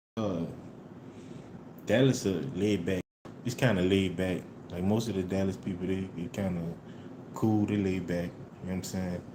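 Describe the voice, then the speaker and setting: A man's very deep, low voice, dark and mellow in tone, monotone and flat, with audible room echo. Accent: American. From New Orleans, US South. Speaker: livestreamer. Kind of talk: casual live stream chat. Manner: laid-back, casual.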